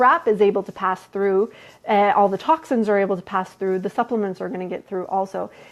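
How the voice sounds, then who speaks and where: A woman at a medium pitch and fairly quick pace, with ordinary pitch variation. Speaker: holistic health coach. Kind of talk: live Q&A stream. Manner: fast; casual, filler-heavy.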